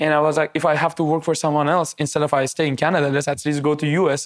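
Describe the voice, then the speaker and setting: Speaking very fast, a man with a Persian accent keeps a monotone, flat intonation at a fairly high pitch. The recording is very clean, the background silent. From Iran. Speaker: tech entrepreneur. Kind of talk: interview.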